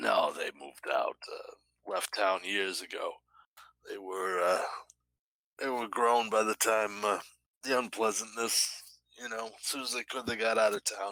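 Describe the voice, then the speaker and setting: Using a put-on character voice, a man speaks raspily at a medium pitch and a moderate pace, with long, frequent pauses. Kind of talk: folksy small-town talk. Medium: actual play. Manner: rambling, hesitant, full of filler words.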